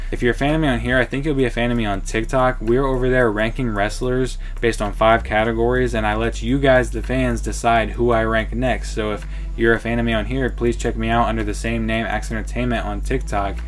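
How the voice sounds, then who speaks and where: Music plays in the background and audible room echo is present. A man talks at a fairly quick pace with hardly any pauses. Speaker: wrestling YouTuber. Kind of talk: casual vlog commentary.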